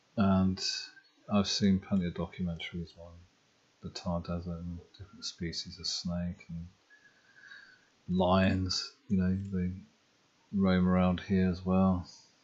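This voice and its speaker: A soft-spoken, whispering man with an English accent, fairly slow pace, long, frequent pauses and big swings in loudness. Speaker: ASMR geography channel host. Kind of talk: soft-spoken geography talk, ASMR.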